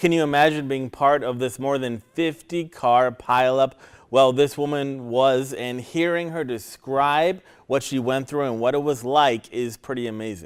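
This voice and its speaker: The speaker has an unremarkable speaking voice, moderate in pace, with ordinary pitch variation. The recording is very clean, the background silent. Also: man, medium pitch for a man. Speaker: television news reporter. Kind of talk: TV news reporting.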